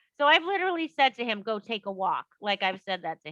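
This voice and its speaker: With a Boston accent, this animated voice makes very wide pitch swings. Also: woman. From Boston, US Northeast. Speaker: author. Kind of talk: casual interview.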